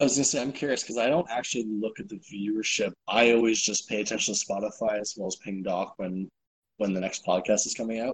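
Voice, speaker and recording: Talking very fast, a man uses a fairly low voice with ordinary pitch variation. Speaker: podcast co-host. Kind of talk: casual banter about esports league.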